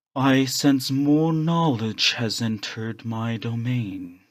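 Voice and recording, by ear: Booming in a put-on character voice, a man speaks at a medium pitch and a very slow pace. The recording is very clean, with a silent background.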